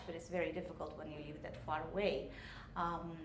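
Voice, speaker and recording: In a Russian accent, a woman speaks at a moderate pace in a fairly low voice. Noticeable background noise and audible room echo surround her. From Russia, Saint Petersburg. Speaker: realtor and business owner. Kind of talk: interview. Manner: hesitant, many filler sounds.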